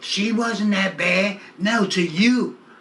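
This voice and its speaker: The voice is raised and projected. Noticeable background noise and audible room echo are present. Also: man. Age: 70s. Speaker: community activist. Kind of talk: interview. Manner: animated.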